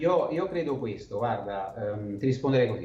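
The man's voice sits at medium pitch and sounds somewhat breathy. Audible room echo surrounds it. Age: 40s. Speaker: wine sales and marketing consultant. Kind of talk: interview.

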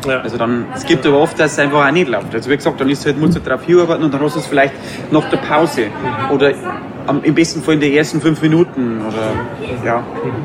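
A man with a Bavarian accent at a fairly high pitch and fairly quick pace, ordinary pitch variation, over noticeable background noise. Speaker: cabaret artist. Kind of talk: casual interview. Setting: outdoor courtyard.

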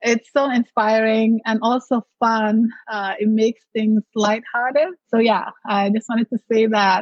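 A woman speaks with a non-native accent. Her pace is fairly slow and her intonation fairly even. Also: fairly high pitch for a woman. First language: not English. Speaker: mindset coach and entrepreneur. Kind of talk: casual interview.

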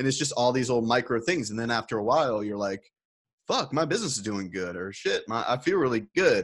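An American accent marks this man's speech. He talks very fast with lively intonation. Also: medium pitch for a man. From US South. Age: 30s. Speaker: music entrepreneur. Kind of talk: interview.

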